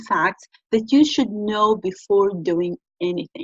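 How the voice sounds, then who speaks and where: A woman speaks at a fairly slow pace in a fairly high, somewhat breathy voice with lively intonation. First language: Arabic. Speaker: business researcher and channel host. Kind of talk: talk-to-camera tutorial.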